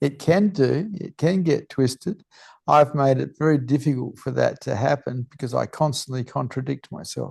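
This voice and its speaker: With an Australian accent, a man talks at a moderate pace with a fairly high pitch, ordinary pitch variation and a somewhat breathy quality, in a dry, close sound with no echo. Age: 70s. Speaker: spiritual teacher. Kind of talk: interview. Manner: blunt.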